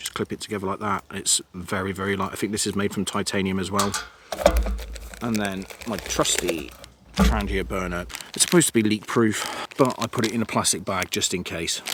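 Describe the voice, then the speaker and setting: A man speaks quietly at a fairly quick pace with ordinary pitch variation. Noticeable background noise runs beneath him. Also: fairly low pitch for a man. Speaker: hiking vlogger. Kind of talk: outdoor vlog narration. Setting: outdoors. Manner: quiet, hushed.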